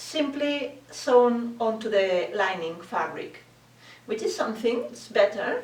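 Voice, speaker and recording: Amid noticeable background noise, a woman with a non-native accent speaks fairly slowly in a fairly high pitch with lively intonation. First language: not English. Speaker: bridal dressmaker. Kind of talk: tutorial talk to camera. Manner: hesitant, many fillers.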